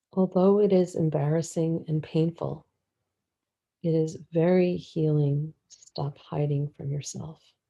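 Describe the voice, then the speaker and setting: A woman speaks fairly slowly in a very deep, low voice with monotone, flat intonation. Her loudness swings widely. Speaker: meditation guide. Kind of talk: guided meditation. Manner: very slow; soft-spoken.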